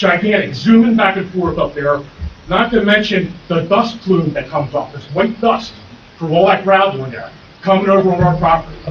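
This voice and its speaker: A man with a high pitch speaks at a moderate pace with ordinary pitch variation. Noticeable background noise can be heard. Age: 60s. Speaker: neighboring business owner speaking at public hearing. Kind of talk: public comment testimony. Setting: township zoning board meeting.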